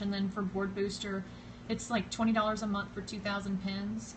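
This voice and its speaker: A woman with a Southern US accent speaks at a medium pitch with fairly even intonation. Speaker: social media blogger. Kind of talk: live stream tutorial. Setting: live stream video. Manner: casual, hesitant with fillers.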